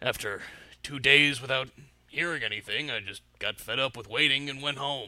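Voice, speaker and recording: Pitched in the medium range, a man puts on a character voice. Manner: rambling, hesitant, boastful.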